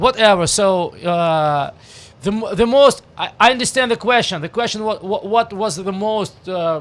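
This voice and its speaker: At a moderate pace, a man with a strong Russian accent talks in a high voice. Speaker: rock musician, band frontman. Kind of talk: radio interview. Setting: radio studio. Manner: halting, many fillers and restarts.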